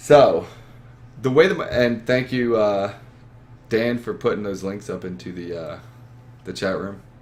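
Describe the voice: The tone is slightly mellow, with ordinary pitch variation. Delivery runs at a fairly slow pace with long, frequent pauses. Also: man, fairly low pitch for a man.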